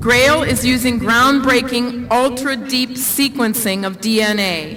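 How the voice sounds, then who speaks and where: Over noticeable background noise, a woman talks very slowly at a high pitch with ordinary pitch variation. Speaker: university official introducing a speaker. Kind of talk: commencement speaker introduction. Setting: outdoors, windy, PA system.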